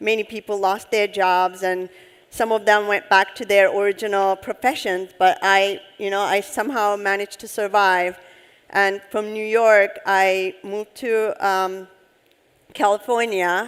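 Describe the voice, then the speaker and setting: Speaking in a Turkish accent, a woman at medium pitch keeps a fairly slow pace and fairly even intonation. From Turkey (Istanbul). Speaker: head of UX design. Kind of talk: on-stage interview. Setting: conference stage with audience.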